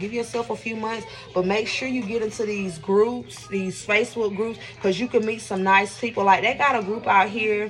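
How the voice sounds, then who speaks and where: A woman speaks in a fairly high voice. Music plays in the background. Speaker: vlogger. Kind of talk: casual vlog talk while cooking. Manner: fast.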